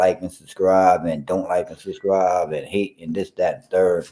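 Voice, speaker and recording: A man speaks with a New York accent. He keeps a moderate pace. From New York, Brooklyn. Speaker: sports podcast co-host. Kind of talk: casual chat.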